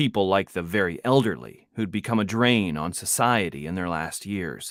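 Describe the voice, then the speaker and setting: An unremarkable speaking voice from a man, fairly low in pitch, with lively intonation at a moderate pace, on a very clean recording with a silent background. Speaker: author and audiobook narrator. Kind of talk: audiobook narration. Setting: home studio.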